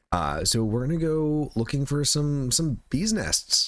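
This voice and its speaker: A man talks quietly with ordinary pitch variation. Noticeable background noise runs under the recording. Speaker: gaming YouTuber. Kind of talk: gameplay commentary.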